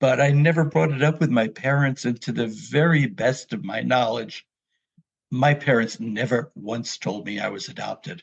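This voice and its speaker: A man with an American accent speaks at a moderate pace and a medium pitch, with lively intonation. His voice has some vocal fry. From New York City area. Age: 70s. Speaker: memoir author. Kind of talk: personal storytelling interview.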